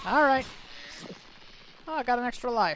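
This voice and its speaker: This is a woman talking. She has an American accent. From US South. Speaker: streamer. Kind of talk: gameplay commentary. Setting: live stream. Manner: casual, rambling with hesitations.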